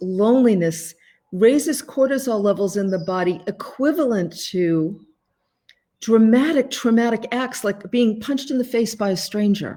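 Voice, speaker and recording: With a Boston accent, a woman speaks fairly slowly at a fairly high pitch in a dark, mellow tone. Her intonation is lively, on a very clean recording with a silent background. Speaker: life coach and author. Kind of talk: live stream talk to viewers. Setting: Facebook live video from home.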